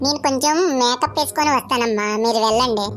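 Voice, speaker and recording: In a cartoonish character voice, a female-sounding speaker talks at a high pitch over clear background noise. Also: moderate pace. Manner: bossy.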